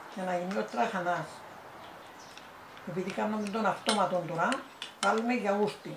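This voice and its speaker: With a Cypriot accent, a woman speaks at a moderate pace and medium pitch, leaving long, frequent pauses. Her pitch varies in an ordinary way, and background noise is noticeable. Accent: Cypriot Greek. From Cyprus. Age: 80s+. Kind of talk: interview answer.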